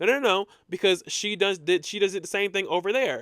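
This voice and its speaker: In a very clean, dry, close recording with no echo and a silent background, a man talks loudly at a moderate pace in an animated tone. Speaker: podcast host. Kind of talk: casual storytelling monologue. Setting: alone in a room recording. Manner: loud, animated.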